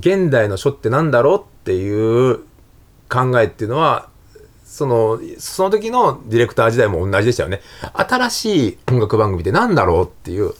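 The man's medium-pitched voice moves in very wide pitch swings. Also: moderate pace. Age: 50s. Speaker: calligrapher and former TV music producer. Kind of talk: casual interview.

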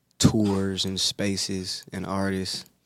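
Low-pitched and monotone, a man with an American accent keeps his intonation fairly low and flat throughout. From US South. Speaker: creative director and musician. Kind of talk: casual chat. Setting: studio.

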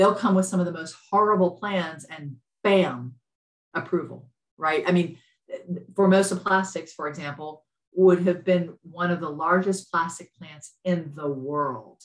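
An unremarkable speaking voice in an American accent, at a fairly slow pace, with ordinary pitch variation and big swings in loudness. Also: woman, fairly low pitch for a woman. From US South, Lafayette, Louisiana. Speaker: environmental activist, nonprofit director. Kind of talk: interview conversation.

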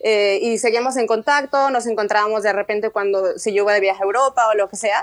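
A woman's fairly high voice with a Mexican accent, fairly quick pace and ordinary pitch variation, in a dry, close sound with no echo. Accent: Mexican Spanish (Jalisco). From Mexico, Guadalajara. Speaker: art director, emigrant. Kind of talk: interview.

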